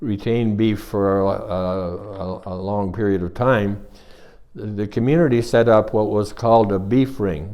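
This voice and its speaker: Speaking at a fairly slow pace, a man with a Canadian accent has a fairly low pitch, a dark, mellow tone and fairly even intonation. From Bobcaygeon, Ontario, Canada. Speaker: retired chartered accountant. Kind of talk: oral history interview answer.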